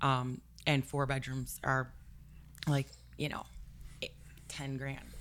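A woman speaks at a very slow pace with a very deep, low pitch, monotone, flat intonation, and long, frequent pauses. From Milwaukee, Wisconsin. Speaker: real estate broker. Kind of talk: casual interview.

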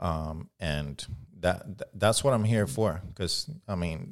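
Here a man speaks with a Puerto Rican accent. The recording is very clean, with a silent background. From Puerto Rico. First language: Spanish. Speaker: firearms instructor and rights advocate. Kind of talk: podcast interview. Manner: halting.

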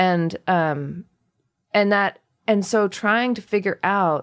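On a very clean recording with a silent background, a woman speaks at a very slow pace in an American accent. Her intonation stays fairly even. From US, Indian American family. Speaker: author and illustrator. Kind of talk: interview conversation.

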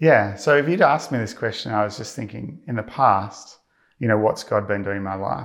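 A man is speaking here. His pitch is fairly low and his pace moderate. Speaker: church member giving testimony. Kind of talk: testimony. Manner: hesitant, filler-heavy.

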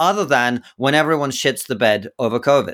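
A man with an English accent, fairly high-pitched and lively in intonation, at a fairly quick pace, on a very clean recording with a silent background. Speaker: podcast host and comedian. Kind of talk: interview, debate-style discussion.

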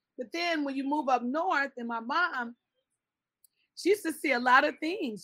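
At a moderate pace, a woman with an American accent projects a raised, high voice with a bright, sharp tone and ordinary pitch variation. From Chicago. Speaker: pedicurist and skincare entrepreneur. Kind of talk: interview.

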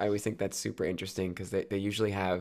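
A man speaks in an upbeat tone with an American accent. The recording is very clean, with a silent background. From US Northeast, New Jersey. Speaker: actor and podcaster. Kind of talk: casual interview chat. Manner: laughs often, upbeat.

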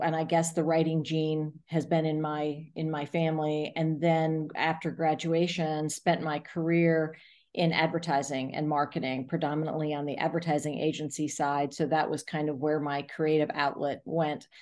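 Speaking at a moderate pace with hardly any pauses, a woman with an American accent uses a very deep, low pitch and monotone, flat intonation against a quiet background. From US South, South Florida. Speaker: arts nonprofit executive director. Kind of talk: interview.

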